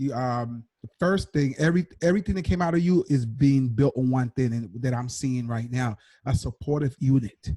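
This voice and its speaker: A man with a medium pitch and a dark, mellow, somewhat breathy tone talks with hardly any pauses and ordinary pitch variation, in a dry, close sound with no echo. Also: moderate pace. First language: Spanish. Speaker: podcast co-host. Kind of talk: interview. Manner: halting.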